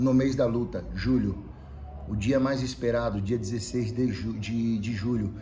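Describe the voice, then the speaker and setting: A man speaks at a medium pitch and a fairly slow pace. His intonation is fairly even, with light background noise. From Brazil. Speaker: MMA fighter and capoeira practitioner. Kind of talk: casual vlog message to followers. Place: gym. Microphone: camera far.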